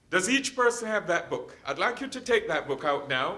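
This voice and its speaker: A man speaks in a raised, projected voice with an extremely high pitch and very wide pitch swings. His tone is bright and sharp. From Jamaica. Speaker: hospital chaplain. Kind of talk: lecture.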